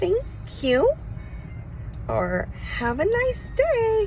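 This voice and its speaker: An extremely high-pitched, put-on character voice comes through over clear background noise. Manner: insincere, falsely cheerful.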